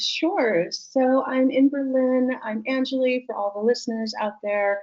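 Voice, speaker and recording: Her high voice moves at a fairly slow pace with ordinary pitch variation as the woman speaks. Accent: Californian. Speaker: tech business leader. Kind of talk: podcast interview.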